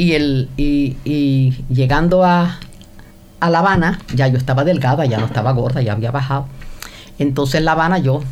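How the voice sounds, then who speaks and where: The woman's pitch is very deep and low. There is audible room echo and noticeable background noise. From Cuba, Havana. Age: 80s+. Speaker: host's mother. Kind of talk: casual chat.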